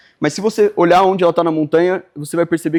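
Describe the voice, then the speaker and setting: Talking at a very fast pace, a man with a high voice keeps his intonation fairly even. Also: dry, close sound with no echo. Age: 20s. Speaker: video editor and workshop instructor. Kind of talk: workshop lecture. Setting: live workshop with audience. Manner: halting, with frequent fillers.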